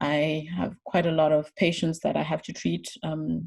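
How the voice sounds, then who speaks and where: At a moderate pace, a woman speaks with vocal fry in a very deep, low pitch. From Zimbabwe, Harare. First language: Shona and Ndebele. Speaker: emergency physician. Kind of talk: talk. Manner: halting, many fillers and repetitions.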